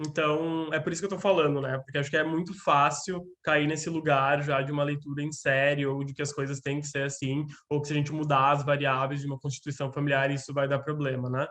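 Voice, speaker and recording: A fairly high-pitched man speaking at a fairly quick pace with hardly any pauses. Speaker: lecturer on gender and psychoanalysis. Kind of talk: lecture. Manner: fast; animated.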